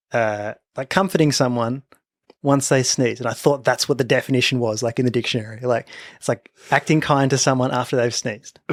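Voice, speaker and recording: In an Australian accent, a man speaks at a fairly quick pace with fairly even intonation. The sound is dry and close with no echo, in a very clean recording over a silent background. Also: medium pitch for a man. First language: a non-English home language. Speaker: podcast co-host. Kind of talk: casual chat.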